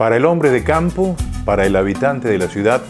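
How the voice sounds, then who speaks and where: Music plays behind a man with a medium pitch. He talks at a fairly quick pace, his pitch swinging very widely. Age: 80s+. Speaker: radio announcer. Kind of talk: radio announcement read.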